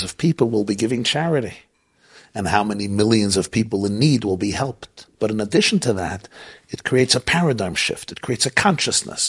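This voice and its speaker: A plain, everyday voice from a man with an American accent, fairly low in pitch, with lively intonation at a fairly quick pace. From US Northeast, Brooklyn. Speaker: rabbi. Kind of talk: interview. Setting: at his home.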